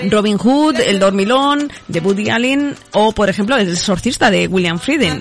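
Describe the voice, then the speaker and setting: With music in the background, a woman speaks fairly slowly with lively intonation. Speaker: local radio host. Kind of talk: radio chronicle of past events with music.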